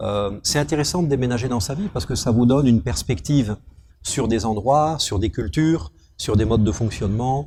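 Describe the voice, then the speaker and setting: The voice has a dark, mellow tone, somewhat breathy, with lively intonation at a moderate pace. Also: man, medium pitch for a man. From France, moved often (Algeria, Gabon, northern France, Brittany). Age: 40s. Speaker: company director. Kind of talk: interview.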